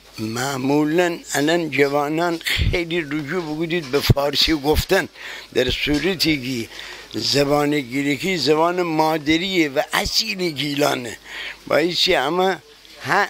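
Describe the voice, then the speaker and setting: A man speaks very slowly in a fairly high voice, his intonation fairly even over noticeable background noise. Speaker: passerby interviewee. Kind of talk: street interview.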